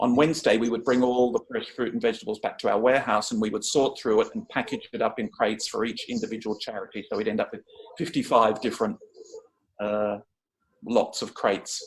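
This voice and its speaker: A man with an Australian accent at a very fast pace. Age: 60s. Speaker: charity volunteer. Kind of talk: informational talk.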